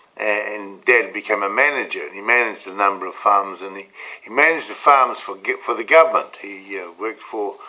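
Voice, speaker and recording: A man speaks with a New Zealand accent. His pitch is fairly low and his tone is bright and sharp. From New Zealand, rural Canterbury/Otago. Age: 70s. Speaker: motivational coach. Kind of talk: casual personal storytelling to camera. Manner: halting, many fillers and repeats.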